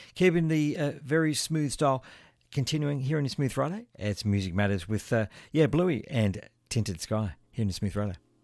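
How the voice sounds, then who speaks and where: A man with an Australian accent, warm, relaxed tone, and very wide pitch swings, on a very clean recording with a silent background. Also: medium pitch for a man, moderate pace. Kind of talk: radio DJ patter, live smooth jazz show with track intros and plugs. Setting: radio studio broadcast.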